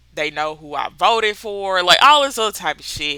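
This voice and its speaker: A woman with a Mississippi accent, bright, sharp and animated in tone. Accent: Mississippi accent, noticeable. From US South, Mississippi. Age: 30s. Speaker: book podcaster. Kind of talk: casual chat.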